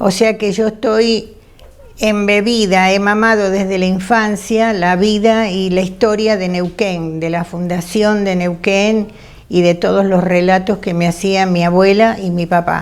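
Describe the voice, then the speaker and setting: A woman's medium-pitched, monotone voice with flat intonation at a fairly slow pace. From Argentina, Buenos Aires. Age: 80s+. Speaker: retired teacher and family historian. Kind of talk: testimony. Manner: halting, with many fillers.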